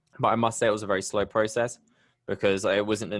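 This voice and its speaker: Over a quiet background, a man in a British accent speaks at a fairly quick pace with monotone, flat intonation. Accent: UK. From England, Bristol. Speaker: podcast host. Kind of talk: interview.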